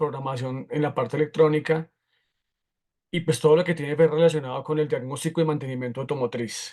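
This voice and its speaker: A man with a plain, everyday voice and a fairly high pitch speaks at a fairly quick pace with fairly even intonation. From Colombia, Bogotá. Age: 40s. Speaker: automotive technical instructor. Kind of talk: lecture.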